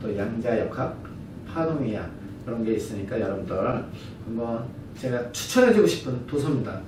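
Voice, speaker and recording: At a fairly quick pace, a man speaks at a medium pitch with ordinary pitch variation. Noticeable background noise and audible room echo fill the recording. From lived abroad long. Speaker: brand partner giving business presentation. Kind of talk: business presentation lecture. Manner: halting, self-correcting.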